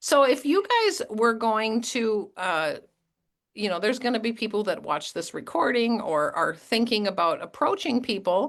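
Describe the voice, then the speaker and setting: This is an ordinary speaking voice with lively intonation, delivered at a moderate pace. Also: woman, fairly high pitch for a woman. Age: 50s. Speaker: network marketing team leader hosting a call. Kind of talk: online group call interview.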